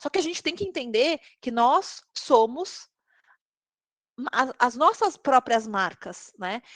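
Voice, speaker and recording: The sound is close and dry, without any echo. It belongs to a woman. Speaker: tech recruiter. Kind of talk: live webinar talk.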